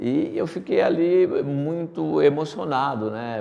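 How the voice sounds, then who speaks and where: A man's voice is heard here. It has a dark, mellow tone. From Brazil, Paraíba sertão (Pombal), moved to São Paulo as child. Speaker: company executive. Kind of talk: interview.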